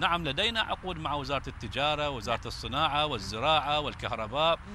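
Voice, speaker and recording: There is vocal fry in this man's fairly high voice as he speaks at a moderate pace. The sound is dry with no echo, and light background noise can be heard. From Basra, Iraq. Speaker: transport company director. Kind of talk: formal TV interview. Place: garden.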